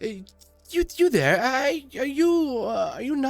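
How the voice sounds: Using a put-on character voice, a man talks at an extremely high pitch. His delivery is fairly slow.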